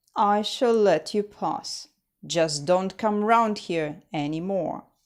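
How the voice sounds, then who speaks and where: A woman puts on a gruff character voice at a medium pitch, talking at a very slow pace on a very clean recording with a silent background. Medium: read story. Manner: gruff, greedy.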